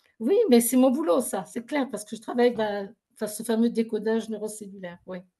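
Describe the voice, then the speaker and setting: Somewhat breathy and dark, mellow in tone, a woman talks at a fairly quick pace and fairly high pitch, with ordinary pitch variation and big swings in loudness. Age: 60s. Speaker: therapist in alternative medicine, former pharmacist. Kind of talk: interview testimony. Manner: animated.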